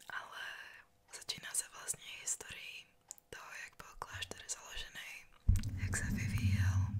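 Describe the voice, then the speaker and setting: A woman whispers at a fairly slow pace, leaving long, frequent pauses. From Czech Republic. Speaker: tour guide. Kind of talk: ASMR. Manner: whispered. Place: home room. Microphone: studio mic.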